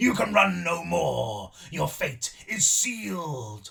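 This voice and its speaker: Loud and raspy, a man uses a put-on character voice with a high pitch at a very slow pace. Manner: booming, commanding.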